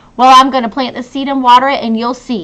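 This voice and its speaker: A woman rattles along at a very fast pace in a put-on character voice, high-pitched with fairly even intonation. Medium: read story.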